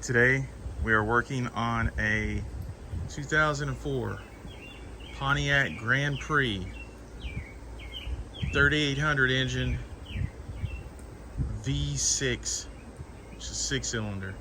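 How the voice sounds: A man's medium-pitched voice, bright and sharp in tone, slow, with long, frequent pauses and ordinary pitch variation.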